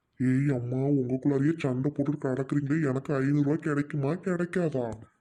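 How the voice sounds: A man puts on a cartoonish character voice, pitched fairly high with fairly even intonation. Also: moderate pace.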